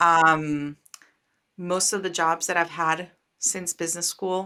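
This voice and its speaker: A woman is speaking here. She has a Spanish accent. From Costa Rica. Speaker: startup founder and venture capitalist. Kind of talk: interview. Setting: video call.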